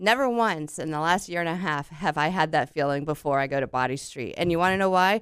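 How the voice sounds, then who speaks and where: A woman at a very fast pace, on a very clean recording with a silent background. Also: hardly any pauses. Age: 50s. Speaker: radio host. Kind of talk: radio interview. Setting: radio studio.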